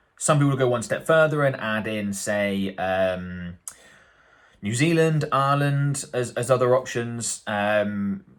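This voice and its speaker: A man in a British accent speaks with very wide pitch swings. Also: very clean recording, silent background. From UK. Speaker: marketing agency owner and YouTube educator. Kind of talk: tutorial. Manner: casual, hesitant with fillers.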